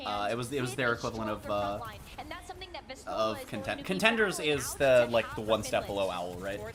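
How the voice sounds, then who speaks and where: A woman speaks with very deep, low pitch and ordinary pitch variation. Audible room echo surrounds her, with music in the background. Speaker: streamer and esports caster. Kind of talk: casual chat. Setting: live stream watch party. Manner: fast.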